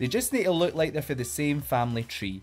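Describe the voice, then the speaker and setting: Music plays in the background as someone with a Glasgow accent talks at a fairly quick pace with very wide pitch swings. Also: man. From Scotland, Glasgow. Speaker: drag queen. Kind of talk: makeup tutorial. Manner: animated.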